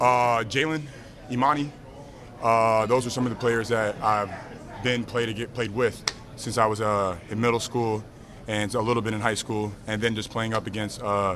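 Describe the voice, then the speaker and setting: A man talks at a moderate pace and medium pitch, with fairly even intonation and long, frequent pauses. Noticeable background noise and audible room echo come through. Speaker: professional basketball player. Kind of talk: press interview.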